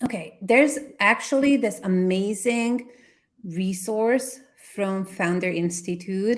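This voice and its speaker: Very slowly and with a non-native accent, a woman talks at a medium pitch with ordinary pitch variation, on a very clean recording with a silent background. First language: not English. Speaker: brand consultant. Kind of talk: workshop Q&A answers.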